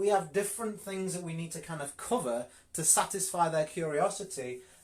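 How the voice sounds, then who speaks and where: A man with a Yorkshire accent speaks at a fairly quick pace, his voice high in pitch and his intonation lively. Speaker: network marketing coach. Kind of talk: live coaching session. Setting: live video stream. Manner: direct, straight to the point.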